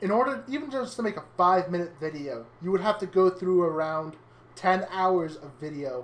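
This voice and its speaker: Over noticeable background noise, a woman speaks at a moderate pace with lively intonation and big swings in loudness. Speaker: streamer. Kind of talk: casual chat. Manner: louder on stream than off.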